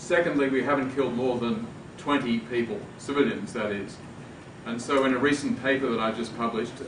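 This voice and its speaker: A medium-pitched man's voice with an Australian accent, ordinary pitch variation and a fairly quick pace, amid noticeable background noise and audible room echo. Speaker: law professor, debate panelist. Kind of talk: panel debate. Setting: university event with audience.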